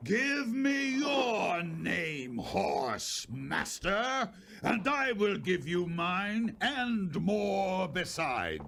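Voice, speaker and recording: A man's put-on character voice, high-pitched and very slow, with hardly any pauses over clear background noise. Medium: audio drama.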